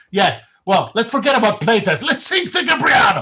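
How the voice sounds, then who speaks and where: Noticeable background noise accompanies a man speaking with an Italian accent. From Italy. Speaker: game designer. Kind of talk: casual chat. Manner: halting.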